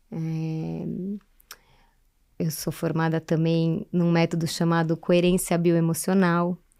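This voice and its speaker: A woman's fairly low, dark and mellow voice, monotone and flat, at a very slow pace with long, frequent pauses, in a very clean recording with a silent background. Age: 40s. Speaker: therapist and human development facilitator. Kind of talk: podcast interview.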